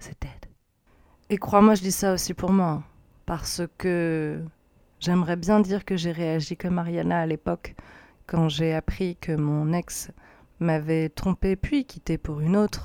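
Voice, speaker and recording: Very slow and broken by long, frequent pauses, a woman's fairly low voice with a dark, mellow tone and fairly even intonation comes through a very clean, dry, close recording with a silent background and no echo. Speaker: podcast host. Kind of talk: casual monologue.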